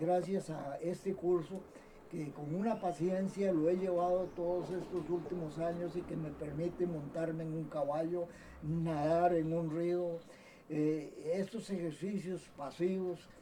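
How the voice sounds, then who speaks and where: Speaking at a fairly slow pace, a man with a high pitch keeps a monotone, flat intonation over noticeable background noise. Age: 70s. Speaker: doctor, surgeon. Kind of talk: autobiographical recollection. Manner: halting, with many repetitions.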